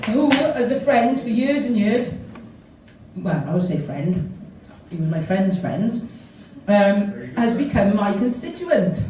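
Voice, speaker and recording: A woman with a Welsh accent speaks at a medium pitch and a fairly slow pace, with very wide pitch swings and long, frequent pauses, amid noticeable background noise and audible room echo. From South Wales. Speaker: politician. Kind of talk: conference speech.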